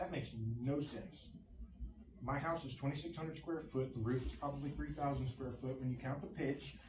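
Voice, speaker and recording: Over noticeable background noise and audible room echo, a man talks at a fairly quick pace in a fairly high pitch. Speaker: resident making public comment. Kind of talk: public comment at council meeting. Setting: council meeting. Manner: fast; animated.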